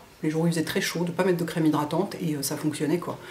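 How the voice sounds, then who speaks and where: A woman's speech comes with audible room echo and noticeable background noise. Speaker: beauty vlogger. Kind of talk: product review vlog. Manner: fast; hesitant, many fillers.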